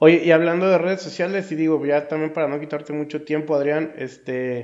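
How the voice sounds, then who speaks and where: A man talks at a fairly quick pace in a plain, everyday voice. His pitch is fairly high, with fairly even intonation. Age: 30s. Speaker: podcast co-host. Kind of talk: casual interview.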